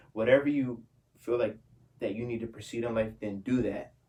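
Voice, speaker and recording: Noticeable background noise sits behind a man speaking very fast. His medium-pitched voice has an animated tone. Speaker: youtuber. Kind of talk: casual vlog Q&A. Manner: stutters slightly; animated slangy.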